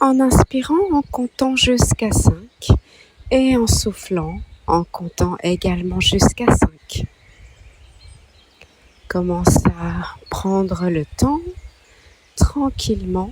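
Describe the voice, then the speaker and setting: A woman's calm tone at a very slow pace, with long, frequent pauses over noticeable background noise. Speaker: meditation guide. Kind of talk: guided meditation. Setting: birdsong in background. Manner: slow, calm.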